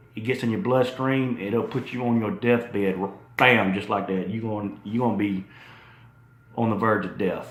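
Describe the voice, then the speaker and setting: There is audible room echo as a man speaks at a medium pitch and moderate pace with fairly even intonation. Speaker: fitness YouTuber. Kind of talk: casual video talk. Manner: profane, conversational.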